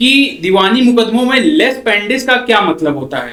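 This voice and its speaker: This man's pitch is extremely high. It shows ordinary pitch variation. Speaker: interviewer. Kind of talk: interview questions.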